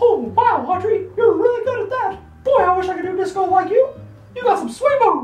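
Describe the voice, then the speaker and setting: An extremely high-pitched, put-on character voice moves at a fairly quick pace with slight echo. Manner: cheery, friendly.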